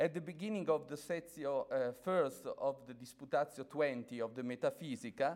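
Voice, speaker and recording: A man speaks in an Italian accent with hardly any pauses. His pitch sits fairly high. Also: ordinary pitch variation, moderate pace. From Italy. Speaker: academic speaker, priest. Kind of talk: conference lecture. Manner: halting, many fillers.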